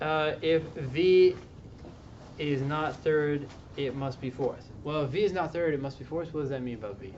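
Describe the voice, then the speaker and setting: Here is a man with a normal speaking voice. His pitch is fairly high, with ordinary pitch variation, at a moderate pace. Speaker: LSAT tutor. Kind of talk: tutoring session with students.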